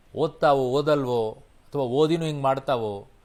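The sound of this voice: This man has a medium-pitched, slightly mellow voice with ordinary pitch variation.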